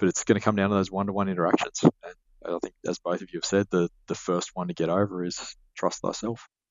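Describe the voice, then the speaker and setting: Flat and monotone in intonation, this speaker talks at a very fast pace with an Australian accent. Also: man, fairly low pitch for a man. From Sydney, Australia. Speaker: business advisor, podcast co-host. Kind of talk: casual chat.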